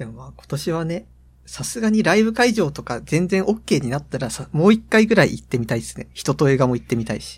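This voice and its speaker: In a very clean recording with a silent background, a man speaks at a fairly quick pace with a fairly high pitch, vocal fry, very wide pitch swings and big swings in loudness. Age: 20s. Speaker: podcast co-host, university student. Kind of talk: casual chat.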